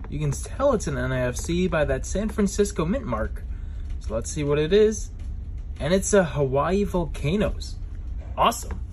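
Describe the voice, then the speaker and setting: The speech moves at a fairly slow pace against light background noise. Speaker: coin collecting YouTuber. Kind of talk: casual vlog narration. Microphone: phone near.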